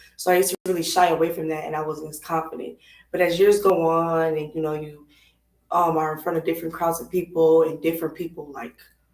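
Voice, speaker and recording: A woman's fairly low, monotone voice at a very fast pace, with flat intonation and big swings in loudness. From Minneapolis, Minnesota. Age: 20s. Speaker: singer. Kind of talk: interview. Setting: live stream.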